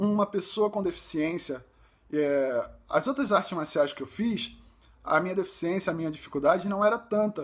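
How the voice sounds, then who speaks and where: A high-pitched male voice with very wide pitch swings, at a moderate pace. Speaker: visually impaired judo athlete, vlogger. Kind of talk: personal vlog testimony. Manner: halting, with fillers and self-corrections.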